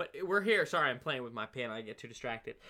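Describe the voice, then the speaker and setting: Speaking very fast with an American accent, a man uses a fairly high pitch and very wide pitch swings. His tone is bright and sharp. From Oregon. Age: 20s. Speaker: podcast host. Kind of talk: casual solo monologue. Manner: upbeat, energetic; fillers and stammering.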